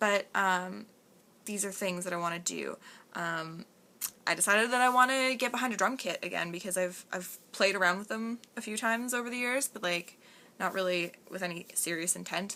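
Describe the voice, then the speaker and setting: The woman's voice sits at a medium pitch with a bright, sharp tone. She varies her pitch in an ordinary way. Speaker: vlogger. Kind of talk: casual vlog monologue. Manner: fast; animated.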